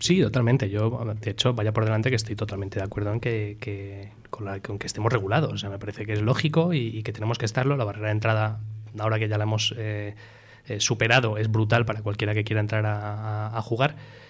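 A somewhat breathy man speaks at a fairly low pitch. He goes at a very fast pace with fairly even intonation. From Spain and Miami, USA. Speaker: startup CEO. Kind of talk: casual interview.

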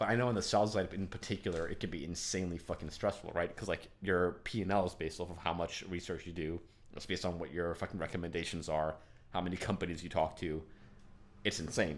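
A man talks at a very fast pace in a very deep, low voice. His intonation is fairly even. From Denmark, Copenhagen suburbs. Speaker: podcast host, works in finance. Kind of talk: casual interview. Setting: in-person studio chat.

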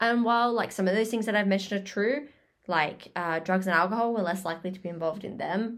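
Speaking at a very fast pace with an Australian accent, a woman uses a medium pitch on a very clean recording with a silent background. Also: ordinary pitch variation. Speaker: podcast co-host. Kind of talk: casual chat. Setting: home recording on laptop.

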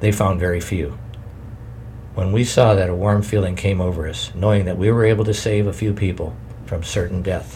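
A man talks at a fairly quick pace in a fairly low voice with ordinary pitch variation. Noticeable background noise is present. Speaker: audiobook-style narrator reading a memoir. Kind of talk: reading aloud a survivor's memoir, solemn historical narration. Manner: grave, measured, somber; formal, steady pace.

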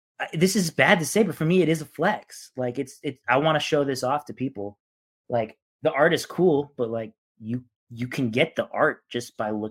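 A man speaks at a moderate pace with a normal speaking voice and a fairly high pitch. His intonation is lively on a very clean recording with a silent background. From Eastern Washington, US. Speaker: sports card collector. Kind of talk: casual chat.

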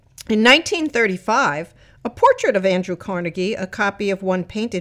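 A woman's unremarkable speaking voice, medium-pitched, with lively intonation and a fairly quick pace. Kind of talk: audio tour narration. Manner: clear, friendly, and upbeat, like a proud local guide; measured, even pacing with formal, informative delivery.

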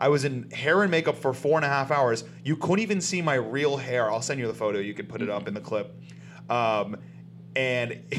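A man with an American accent speaks in a plain, everyday voice at a medium pitch with lively intonation. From US South, South Florida. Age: 30s. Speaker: comedian and actor. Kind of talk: casual chat.

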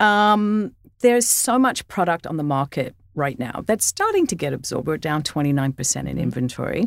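In an Australian accent, the speaker keeps a moderate pace with hardly any pauses and very wide pitch swings. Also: woman, very deep, low pitch for a woman. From Australia, Sydney. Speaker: podcast host, real estate. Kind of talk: interview; reading a scripted introduction.

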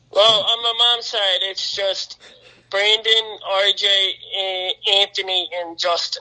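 Speaking in a raised, projected voice with an American accent, a man with a high pitch talks at a very slow pace in a monotone, flat intonation. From northeastern Pennsylvania. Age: 20s. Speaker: volunteer firefighter. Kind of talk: casual chat.

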